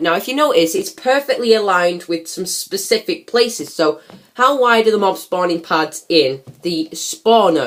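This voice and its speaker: A woman's normal speaking voice at a medium pitch, with lively intonation and a moderate pace. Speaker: gaming video creator. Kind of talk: gameplay commentary.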